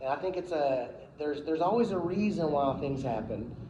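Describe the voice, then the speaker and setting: Loud and high-pitched, a man speaks with lively intonation over noticeable background noise and audible room echo. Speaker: promotional company owner giving a club talk. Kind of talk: speech to a club meeting.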